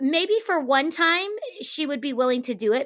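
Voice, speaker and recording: Loud and bright, with a sharp tone, a woman speaks in an energetic, animated way. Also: very clean recording, silent background. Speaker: teacher and podcast co-host. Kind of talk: casual conversational podcast chat. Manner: loud, energetic, animated.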